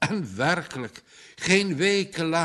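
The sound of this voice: An unforced reading voice, fairly even in intonation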